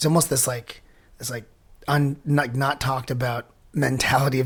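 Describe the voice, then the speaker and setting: A man speaks at a medium pitch in a flat, monotone way, his voice somewhat breathy. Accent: Pacific Northwest. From Washington State, US (Enumclaw area). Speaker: punk rock singer. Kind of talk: casual interview chat.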